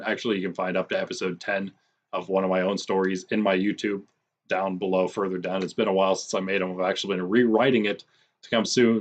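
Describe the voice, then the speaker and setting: This raspy, put-on character voice runs at a very fast pace in a monotone, flat intonation. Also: man, fairly low pitch for a man. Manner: talking fast, rushed.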